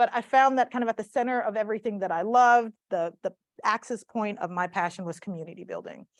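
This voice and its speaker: A woman with a fairly high voice and an American accent talks very fast with ordinary pitch variation. The sound is dry and close, with no echo. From US South, South Mississippi. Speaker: community organizer and speaker. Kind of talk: talk to a live audience.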